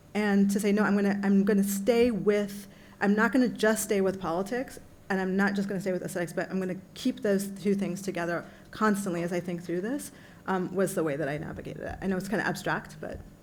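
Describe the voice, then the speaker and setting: Audible room echo surrounds a woman talking at a very fast pace. Her medium pitch keeps a fairly even intonation. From US, immigrant family. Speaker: panelist, translator. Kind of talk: panel Q&A answer. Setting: conference panel with audience. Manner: halting, many fillers.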